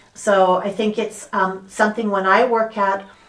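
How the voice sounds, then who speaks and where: A woman with an American accent speaks at a medium pitch in a monotone, flat intonation. Noticeable background noise sits behind her. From US (San Francisco). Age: 60s. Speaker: sound healer and dental health coach. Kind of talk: interview. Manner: halting.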